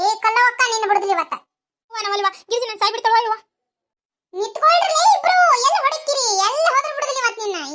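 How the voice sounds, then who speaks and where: This is a cartoonish character voice at an extremely high pitch. It moves at a fairly quick pace. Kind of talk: cartoon comedy sketch, several village characters. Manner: lively, bickering.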